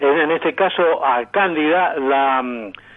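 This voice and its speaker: With music in the background, a man talks at a fairly high pitch with ordinary pitch variation. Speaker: radio announcer and sound archive collector. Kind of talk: radio interview answer.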